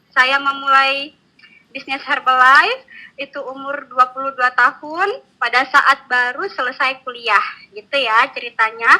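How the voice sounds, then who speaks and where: A woman uses a raised, projected voice with a bright, sharp tone. Her pitch is high with ordinary variation, and her pace is fairly slow. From Java, Indonesia (Yogyakarta). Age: 20s. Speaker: network marketing distributor. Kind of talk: online training presentation. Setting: online webinar. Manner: casual, with many fillers.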